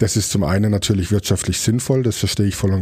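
A man with a fairly low pitch rattles along at a very fast pace amid noticeable background noise. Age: 40s. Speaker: chef and restaurateur. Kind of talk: casual interview.

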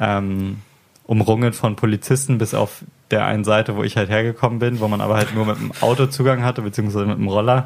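With fairly even intonation, a man talks very fast in a fairly low pitch. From Hamburg, northern Germany. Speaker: podcast host. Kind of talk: casual chat. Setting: home recording at a friend's place.

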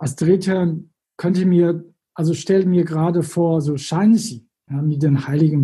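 Spoken with a Chinese accent, the voice moves at a fairly slow pace. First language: Chinese (speaking German). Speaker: former tour guide in China. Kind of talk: interview.

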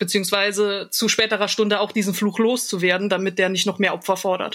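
A woman's voice at a moderate pace, monotone and flat in intonation. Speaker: podcaster. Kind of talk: casual chat. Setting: online call.

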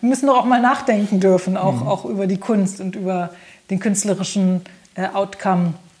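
Amid noticeable background noise, a woman speaks at a medium pitch and moderate pace with ordinary pitch variation. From Germany, Braunschweig. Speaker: singer, pianist and composer. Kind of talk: interview.

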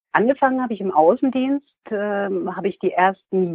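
A woman speaks at a moderate pace with lively intonation and a medium pitch. It is a normal speaking voice. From Hesse/Franconia, Germany. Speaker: cruise company sales employee. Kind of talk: interview.

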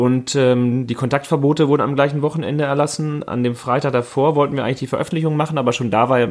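This man talks at a very fast pace and a medium pitch. His intonation is fairly even. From Münsterland, NRW (Warendorf-Freckenhorst). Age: 30s. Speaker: mayoral candidate. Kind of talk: casual chat.

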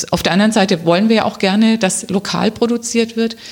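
A woman at a moderate pace. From Swabia (Remstal near Stuttgart), Germany. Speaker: local politician, council candidate. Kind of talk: interview. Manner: hesitant, many fillers.

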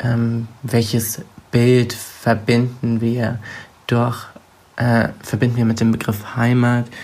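Very slowly and in a flat monotone, a man speaks at a medium pitch. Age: 20s. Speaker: young author, student. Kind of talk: interview. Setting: voice messages via WhatsApp. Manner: hesitant, with filler sounds.

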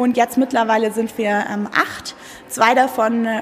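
Noticeable background noise runs under a woman's voice. She speaks fairly slowly in a fairly high pitch with ordinary pitch variation. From Munich, Germany. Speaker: school director. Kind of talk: interview. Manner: hesitant, many fillers.

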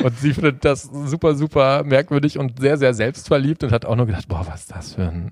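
On a very clean recording with a silent background, a man has a normal speaking voice with a medium pitch. He moves at a fairly quick pace with lively intonation. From Sauerland, western Germany. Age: 30s. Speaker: angler and fishing YouTuber. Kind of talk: casual chat.

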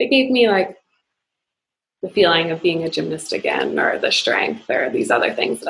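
A woman speaks at a moderate pace. She has a Maritime Canadian accent. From Nova Scotia, Canada. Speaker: investment bank employee, yoga practitioner. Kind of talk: casual interview.

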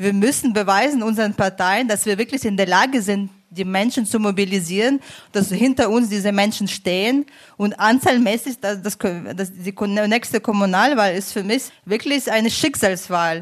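With a normal speaking voice, this woman talks at a moderate pace, her pitch medium and her pitch variation ordinary. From Ukraine. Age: 30s. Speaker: migration advisory board member, politician. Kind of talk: panel discussion.

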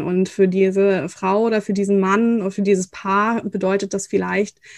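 An ordinary speaking voice moves at a moderate pace, with a quiet background and a dry, close sound with no echo. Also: woman. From northern Germany. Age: 30s. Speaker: fertility coach. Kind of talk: interview.

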